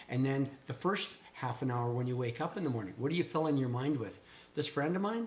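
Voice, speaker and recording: A man talks at a fairly quick pace with lively intonation and a medium pitch. Noticeable background noise runs behind him. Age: 60s. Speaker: small business owner, vlogger. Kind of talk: casual chat. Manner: animated.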